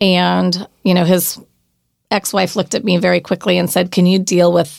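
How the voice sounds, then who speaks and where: With an American accent, a woman speaks at a fairly quick pace and a fairly low pitch, her voice showing vocal fry. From Oregon, US. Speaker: winery owner. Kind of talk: casual chat.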